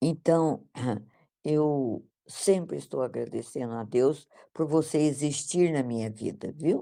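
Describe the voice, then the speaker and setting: A woman with a very deep, low pitch and a dark, mellow tone speaks at a very slow pace on a very clean recording with a silent background. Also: ordinary pitch variation. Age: 80s+. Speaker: study group participant. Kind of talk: casual chat. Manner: halting.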